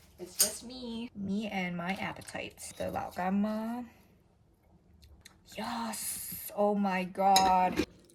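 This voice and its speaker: Amid noticeable background noise, a woman speaks at a very slow pace with big swings in loudness. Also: medium pitch for a woman, ordinary pitch variation. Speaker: vlogger. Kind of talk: casual vlog narration.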